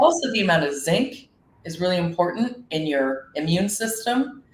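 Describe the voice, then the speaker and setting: At a moderate pace, a woman speaks in an ordinary speaking voice. Her fairly low pitch rises and falls with lively intonation. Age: 40s. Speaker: business owner presenting on seaweed health. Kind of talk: online summit presentation. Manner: casual, conversational.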